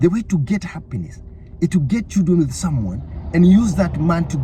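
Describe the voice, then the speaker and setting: An animated tone comes through at a moderate pace over noticeable background noise. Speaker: online preacher. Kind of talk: sermon.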